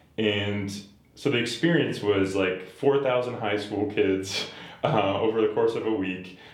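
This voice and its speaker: Recorded with audible room echo, a man with an American accent talks at a fairly slow pace. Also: fairly low pitch for a man, ordinary pitch variation. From Boston area, Massachusetts. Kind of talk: casual interview chat.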